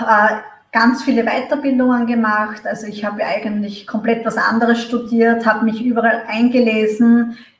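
Audible room echo surrounds a woman's voice. She speaks with a fairly high pitch and monotone, flat intonation. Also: moderate pace. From Austria. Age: 30s. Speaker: marketing manager. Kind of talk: interview. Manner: hesitant, many fillers.

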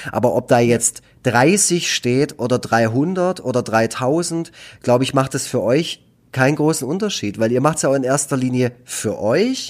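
On a very clean recording with a silent background, a man with an ordinary speaking voice talks at a fairly slow pace, medium in pitch with ordinary pitch variation. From Baden-Württemberg, Germany (Nagold). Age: 30s. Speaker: cartoonist and youth care worker. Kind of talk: casual chat.

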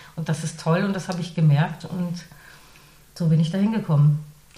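Noticeable background noise and audible room echo surround the recording. The woman speaking has a fairly low pitch. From northern Germany. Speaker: radio presenter and voice artist. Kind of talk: interview. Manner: hesitant with frequent fillers.

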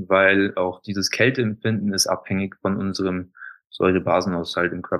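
A man with a plain, everyday voice talks at a moderate pace and a fairly low pitch. The recording is very clean, with a silent background. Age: 30s. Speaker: alkaline bath practitioner, former golf instructor. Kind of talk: interview.

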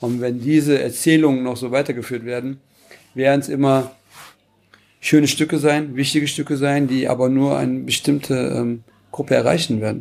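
Long, frequent pauses break up a man's monotone, flat intonation at a moderate pace. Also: medium pitch for a man. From Cologne-Porz, Germany, Turkish family. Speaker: panel guest. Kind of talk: panel discussion.

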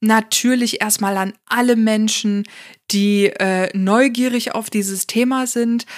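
On a very clean recording with a silent background and a dry, close sound with no echo, a woman with an unremarkable speaking voice and fairly high pitch talks at a fairly slow pace with fairly even intonation. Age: 30s. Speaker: podcast host, psychotherapy practitioner and coach. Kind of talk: solo podcast monologue. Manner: casual with many fillers.

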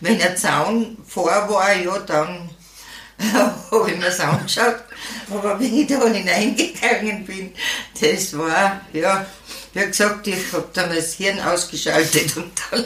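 Over noticeable background noise and audible room echo, a woman at medium pitch talks at a very slow pace with ordinary pitch variation. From Austria, Styria. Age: old. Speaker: senior horse rider and podcaster. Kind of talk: interview. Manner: halting.

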